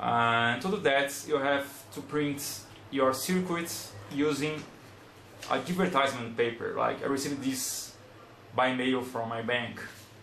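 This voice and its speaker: With a Brazilian accent, the speaker talks at a fairly slow pace with long, frequent pauses and ordinary pitch variation, over light background noise and audible room echo. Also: man. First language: Portuguese. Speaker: electronics hobbyist making tutorial videos. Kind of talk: tutorial. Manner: halting, hesitant. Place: home room.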